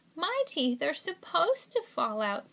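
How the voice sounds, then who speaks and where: Squeaky, put-on character voice at a moderate pace. The pitch swings very widely. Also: woman, extremely high pitch for a woman. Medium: read story.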